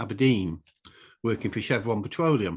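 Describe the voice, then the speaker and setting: This man speaks with an English accent at a medium pitch against a quiet background. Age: 60s. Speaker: author and draftsman. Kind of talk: casual interview.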